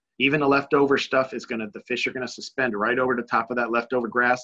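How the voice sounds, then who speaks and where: At a very fast pace, a man speaks with a medium pitch and monotone, flat intonation. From US Northeast, Connecticut. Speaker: bass fishing pro. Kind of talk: webinar presentation. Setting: online webinar.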